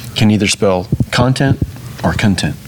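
A man speaks with a fairly low voice, and noticeable noise can be heard behind him. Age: 40s. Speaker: sports ministry director. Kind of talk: casual interview, faith testimony.

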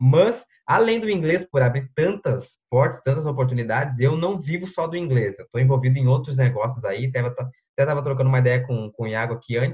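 A somewhat breathy man at a medium pitch, fairly quick with hardly any pauses and ordinary pitch variation. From southern Brazil, Porto Alegre metro area. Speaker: English teacher and online content creator. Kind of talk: casual interview on a live stream.

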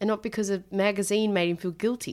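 An Australian accent in a very clean recording with a silent background. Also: woman. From Australia, Tasmania. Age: 20s. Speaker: podcast co-host. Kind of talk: casual chat. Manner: animated.

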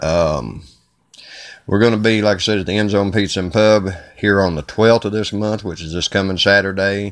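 A man with a Kentucky accent speaks quickly at a fairly low pitch, keeping his intonation fairly even. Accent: Southern US (Kentucky). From Kentucky, US. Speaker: podcast host and singer-songwriter. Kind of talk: casual solo podcast intro. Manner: talkative, chatty.

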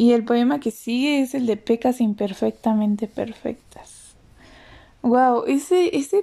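At a very slow pace, a woman with a central Mexican accent speaks in a high pitch, her tone dark and mellow, her intonation lively. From Mexico, State of Mexico. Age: 20s. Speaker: poet and podcaster. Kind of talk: casual monologue with poetry reading.

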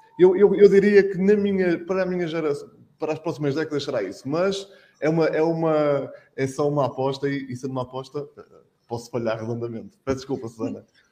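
The voice has a dark, mellow tone and lively intonation, moving at a fairly quick pace. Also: man, fairly high pitch for a man. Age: 40s. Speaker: public relations manager at car dealer. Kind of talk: panel discussion.

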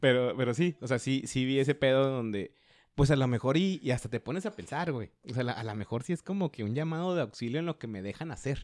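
This is an ordinary speaking voice moving at a fairly quick pace with lively intonation, heard as a dry, close sound with no echo. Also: man, medium pitch for a man. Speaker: podcast co-host, economist. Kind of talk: casual chat.

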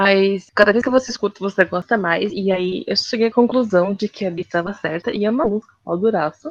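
Hardly pausing, a woman in an ordinary speaking voice talks at a fairly quick pace with ordinary pitch variation, in a dry, close sound with no echo. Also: medium pitch for a woman. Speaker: podcast co-host. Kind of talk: casual chat. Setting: remote recording.

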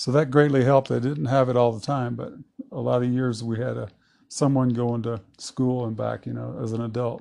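Here a man talks with an East Texas accent at a medium pitch. His pace is moderate and his intonation monotone and flat. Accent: East Texas Southern American. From US South (Southeast Texas). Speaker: longtime local resident. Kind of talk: casual interview. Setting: at home.

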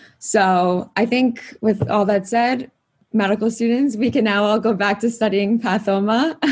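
Fairly slow and somewhat breathy, a woman speaks at a fairly high pitch with fairly even intonation and very even loudness. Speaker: student podcast host. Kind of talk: interview conversation.

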